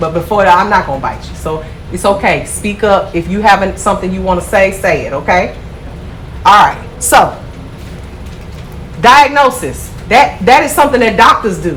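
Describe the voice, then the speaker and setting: Amid noticeable background noise and audible room echo, a woman speaks at medium pitch with an animated tone. Her intonation is lively, broken by long, frequent pauses. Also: moderate pace. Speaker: nail school instructor. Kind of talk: classroom lecture. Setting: classroom. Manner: loud.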